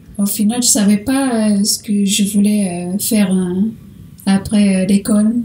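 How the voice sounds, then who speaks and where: At a fairly slow pace, a woman speaks at a medium pitch with a slight Portuguese accent. Her intonation is monotone and flat, and her loudness stays very even. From Portugal. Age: 20s. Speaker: interview guest, saleswoman and photographer. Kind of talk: interview. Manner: halting, many hesitations.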